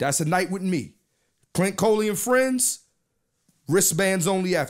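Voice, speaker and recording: A man's speech keeps a moderate pace. Nothing much stirs in the quiet background. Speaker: podcast host, comedian. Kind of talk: casual podcast chat, event plug. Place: studio. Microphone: studio mic.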